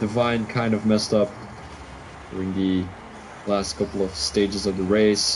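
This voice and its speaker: A man speaks with music playing in the background. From Belgium (Flemish). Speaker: sim racing league commentator. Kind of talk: live commentary. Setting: live stream.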